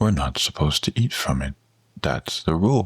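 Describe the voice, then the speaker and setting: Using a put-on character voice, a man talks at a moderate pace with a very deep, low pitch and very wide pitch swings. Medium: read story. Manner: innocent, questioning.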